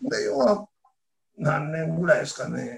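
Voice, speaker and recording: The speaker is a man. His delivery is fairly slow. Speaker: knife craftsman. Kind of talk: interview.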